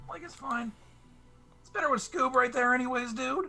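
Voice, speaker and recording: A raspy, drawling cartoonish character voice with fairly high pitch at a moderate pace. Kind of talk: cartoon impression. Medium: actual play. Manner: laid-back, drawling, says "like" and "dude".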